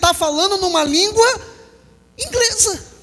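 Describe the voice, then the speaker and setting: A man with a Rio de Janeiro accent uses a raised, projected voice at an extremely high pitch. His tone is animated with ordinary pitch variation, over noticeable background noise. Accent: Brazilian Portuguese, carioca (Rio). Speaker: pastor. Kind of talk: sermon. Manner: animated, with rhetorical questions to the congregation.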